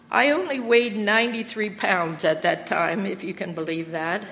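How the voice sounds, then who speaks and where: Against noticeable background noise, a woman speaks at a fairly slow pace. Her pitch variation is ordinary. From Lancaster County, Pennsylvania. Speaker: church member sharing testimony, retired English teacher. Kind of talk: testimony. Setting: church.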